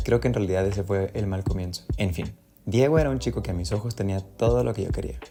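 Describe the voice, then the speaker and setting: A man talks very fast with lively intonation. His voice is fairly low, with a dark, mellow tone. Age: 20s. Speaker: singer-songwriter and YouTuber. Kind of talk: reading aloud own book with commentary. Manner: casual, conversational.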